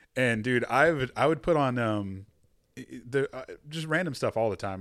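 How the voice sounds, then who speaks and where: A man speaks with a Texan accent at a moderate pace. The recording is very clean, with a silent background. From Texas. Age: 30s. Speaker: podcast host. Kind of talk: casual chat. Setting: studio.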